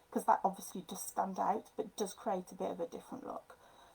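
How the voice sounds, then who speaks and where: A woman is speaking. She has a strong Midlands accent. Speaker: papercraft designer. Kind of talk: tutorial. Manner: casual, hesitant.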